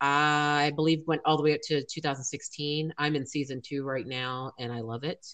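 Using a very deep, low pitch, a woman with an American accent speaks at a moderate pace with hardly any pauses. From USA. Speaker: podcast host. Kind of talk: casual chat. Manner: animated.

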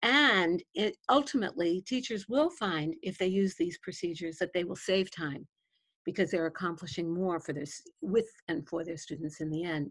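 A woman with a plain, everyday voice speaks in a fairly low pitch at a moderate pace. Her intonation is lively, and the recording is very clean with a silent background. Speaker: education coach and former principal. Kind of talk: interview discussion.

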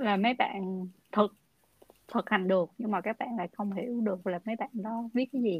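A somewhat breathy woman with a fairly high pitch at a fairly quick pace, in a dry, close sound with no echo. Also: ordinary pitch variation. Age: 20s. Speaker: podcast host. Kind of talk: casual interview.

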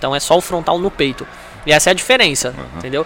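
A man talks with lively intonation. Noticeable background noise runs under his voice. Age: 20s. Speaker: stand-up comedian and former taekwondo athlete. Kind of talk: casual chat.

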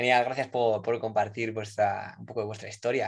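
With a Spanish accent, a man speaks at a fairly slow pace. His intonation is monotone and flat. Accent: Peninsular Spanish. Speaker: podcast host, consultant. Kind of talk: interview. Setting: live online recording.

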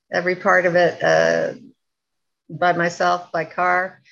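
A woman talks very slowly against a quiet background. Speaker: audience member. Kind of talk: Q&A. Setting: video call.

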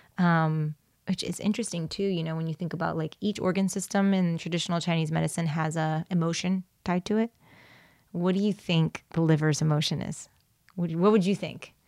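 The pace is fairly quick. The recording is very clean and dry, with a silent background, a close sound and no echo. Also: woman, fairly low pitch for a woman. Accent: General American. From Cuban-American, Florida. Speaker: naturopath. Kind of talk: casual chat. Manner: animated.

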